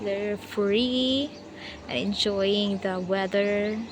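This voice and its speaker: This woman talks with a Filipino accent and fairly even intonation. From Philippines, Eastern Visayas (Waray). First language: Waray. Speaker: vlogger. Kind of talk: casual vlog talk to camera. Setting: outdoors at the beach. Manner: halting, hesitant.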